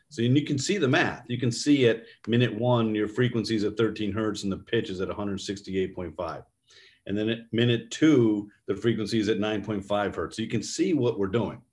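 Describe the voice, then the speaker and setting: A man with a normal speaking voice and an American accent, medium pitch with ordinary pitch variation, at a fairly quick pace against a quiet background. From New York State. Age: 50s. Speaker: neuroscience company executive. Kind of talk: interview.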